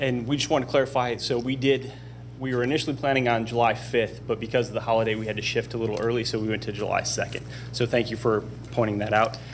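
Racing along at a very fast pace, a man speaks in a monotone, flat intonation with light background noise behind him. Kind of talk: presentation to a board. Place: hall. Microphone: podium.

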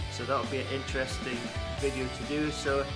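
Clear music sounds in the background as a man talks. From outside Aberdeen, Scotland. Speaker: vlogger. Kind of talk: casual talk to camera. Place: home room. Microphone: phone near.

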